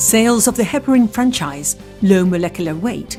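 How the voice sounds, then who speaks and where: A woman with a British accent, music in the background. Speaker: voice-over artist. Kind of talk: corporate narration.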